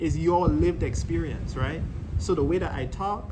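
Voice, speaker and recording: Speaking at a moderate pace with a Caribbean accent, a man with a high pitch is heard amid audible room echo and noticeable background noise. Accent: Caribbean accent, kept since seventh grade. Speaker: YouTuber. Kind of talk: casual chat.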